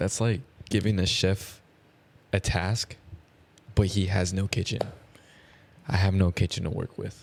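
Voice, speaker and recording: A soft-spoken, somewhat breathy man with a very deep, low pitch, fairly even intonation and long, frequent pauses. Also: fairly slow pace. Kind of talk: casual chat. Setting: home room at night.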